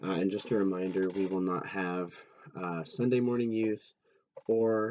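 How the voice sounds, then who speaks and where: A quiet man's voice, fairly low in pitch, with fairly even intonation at a fairly slow pace. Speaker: youth pastor. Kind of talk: casual recap talk. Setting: recording at night at home. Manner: hesitant, many fillers.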